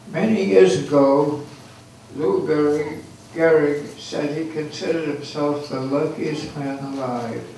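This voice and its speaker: A man with a fairly high pitch speaks at a very slow pace, with long, frequent pauses, ordinary pitch variation and noticeable background noise. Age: 80s+. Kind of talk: birthday speech to guests.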